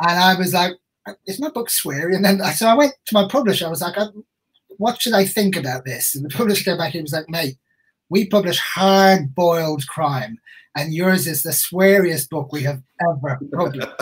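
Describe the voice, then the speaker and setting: A man with a high pitch talks at a fairly quick pace in an Irish accent. His intonation is lively. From Ireland. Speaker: crime novelist. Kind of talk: casual interview chat.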